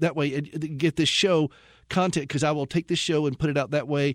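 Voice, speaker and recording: An ordinary speaking voice at a fairly quick pace, fairly even in intonation, with a dry, close sound lacking echo and a very clean recording over a silent background. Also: man. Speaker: radio host. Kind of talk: radio show hosting. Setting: studio.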